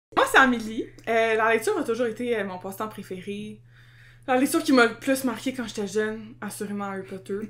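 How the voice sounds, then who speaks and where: The speaker, with a Quebec accent, moves at a fairly quick pace with big swings in loudness. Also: woman, fairly high pitch for a woman, ordinary pitch variation. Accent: Québécois French. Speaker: podcast co-host. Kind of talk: casual chat. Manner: energetic.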